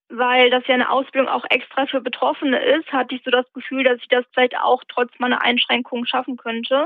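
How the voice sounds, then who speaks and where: A woman speaks with a high pitch. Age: 20s. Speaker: blogger with lived experience of schizophrenia, peer-support trainee. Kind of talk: interview. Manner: halting, many filler sounds.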